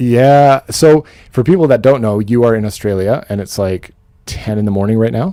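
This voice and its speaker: A man with a Canadian accent, medium pitch, ordinary pitch variation, a dark, mellow tone and a moderate pace. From western Canada. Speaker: book YouTuber hosting a livestream chat. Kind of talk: casual chat. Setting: livestream video call.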